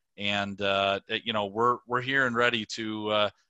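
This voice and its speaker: A man at a medium pitch with a Minnesotan accent and a bright, sharp tone, in a dry, close sound with no echo against a quiet background. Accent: Minnesotan, rounded O's. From Minnesota, Twin Cities suburb. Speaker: safety products sales director. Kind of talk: interview. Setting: video call.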